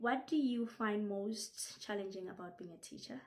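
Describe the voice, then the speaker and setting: With music in the background, a woman of medium pitch talks at a fairly slow pace. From Lesotho. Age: 20s. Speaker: English teacher. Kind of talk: self-introduction video.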